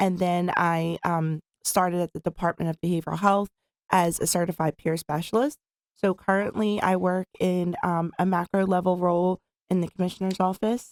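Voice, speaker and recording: Speech comes at a moderate pace with a Philadelphia accent and fairly even intonation. Loudness stays very even, and the sound is dry and close with no echo. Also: woman, fairly low pitch for a woman. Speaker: peer specialist in behavioral health department. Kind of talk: interview.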